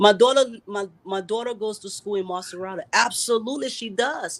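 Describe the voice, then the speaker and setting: Speaking at a moderate pace, the woman has a medium pitch. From US, raised from childhood. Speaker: political candidate. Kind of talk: live talk show interview. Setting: live online stream.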